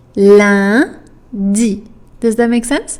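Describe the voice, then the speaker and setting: Very slowly, a woman with a French accent speaks at a medium pitch. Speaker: French teacher. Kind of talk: tutorial. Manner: slow, deliberate enunciation.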